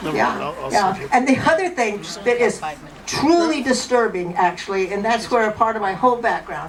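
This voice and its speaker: Audible room echo and noticeable background noise around a female voice. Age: 60s. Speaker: stand-up comedian. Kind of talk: stand-up. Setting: stage with audience. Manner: halting.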